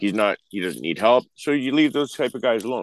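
A man talks with an Ontario accent at a fairly quick pace. His pitch variation is ordinary. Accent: Canadian (Ontario). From Ontario, Canada. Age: 40s. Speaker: truck driver. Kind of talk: casual chat.

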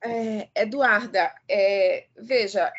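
A woman is speaking. Her intonation is lively. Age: 50s. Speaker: law professor. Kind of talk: live radio discussion. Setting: live radio broadcast. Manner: halting, many fillers.

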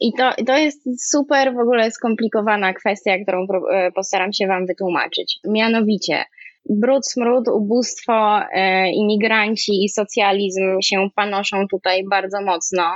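With an unremarkable speaking voice, a woman talks at a fairly slow pace with a fairly high pitch, ordinary pitch variation and very even loudness. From Poland, Kraków. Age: 20s. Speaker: former art director, now homemaker and online commentator. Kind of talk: interview.

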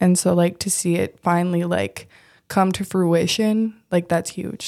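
In an Upper Midwest accent, a woman with a dark, mellow tone speaks in a monotone, flat intonation on a very clean recording with a silent background. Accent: Upper Midwest American. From US Midwest, Minnesota. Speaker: restaurant worker. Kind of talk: casual interview. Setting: studio. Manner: soft-spoken.

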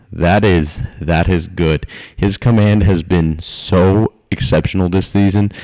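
A man talks with fairly even intonation as noticeable background noise carries on behind him. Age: 20s. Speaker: sports podcast host. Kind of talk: casual sports chat.

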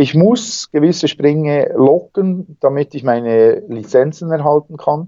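This man's voice sits fairly high in pitch, with a dark, mellow tone, lively intonation and a fairly slow pace. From Switzerland, Bernese Seeland. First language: Swiss German (speaking German). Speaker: wingsuit flyer and extreme athlete. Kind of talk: interview. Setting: Skype call.

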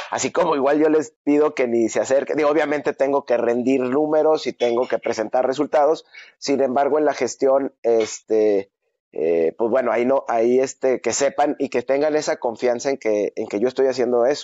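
A man at a moderate pace, medium pitch with ordinary pitch variation, and very even loudness. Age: 40s. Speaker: fitness studio owner. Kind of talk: interview. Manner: hesitant, many fillers.

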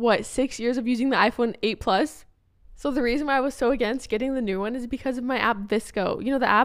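At a very fast pace, a woman with a high pitch speaks in an animated tone on a very clean recording with a silent background. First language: not English. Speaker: podcast co-host. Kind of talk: casual chat.

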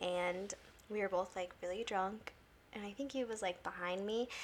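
At a moderate pace, a woman speaks in a normal speaking voice with a medium pitch and fairly even intonation. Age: 20s. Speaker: podcast guest. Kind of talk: casual chat.

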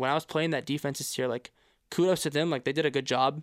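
A man's fairly high voice at a very fast pace, fairly even in intonation, with a dry, close sound with no echo and a very clean recording, silent background. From Quebec. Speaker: university quarterback. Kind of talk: casual interview.

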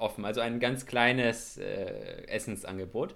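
A man's voice with lively intonation. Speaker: podcast co-host, university student. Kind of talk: casual chat. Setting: remote call, connected separately.

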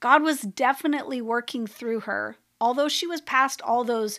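Her voice unremarkable, a woman speaks at a fairly high pitch and a moderate pace with ordinary pitch variation on a very clean recording with a silent background. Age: 50s. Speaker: spiritual practices podcast host. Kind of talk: solo reflective monologue.

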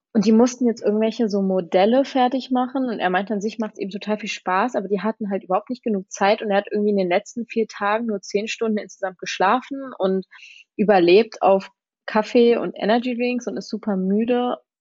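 The delivery is fairly quick. It is a normal speaking voice, and the intonation stays fairly even. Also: woman, fairly high pitch for a woman. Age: 20s. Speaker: law student, former exchange student. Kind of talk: casual interview.

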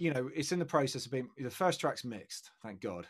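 A man with a British accent, medium in pitch, with lively intonation. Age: 30s. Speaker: rock guitarist. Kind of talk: casual chat.

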